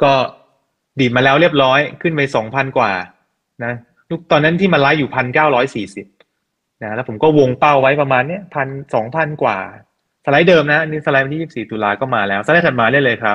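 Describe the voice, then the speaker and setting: A man talks in an ordinary speaking voice, fairly high in pitch, with ordinary pitch variation. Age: 30s. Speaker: technical-analysis investor and trading teacher. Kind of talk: interview.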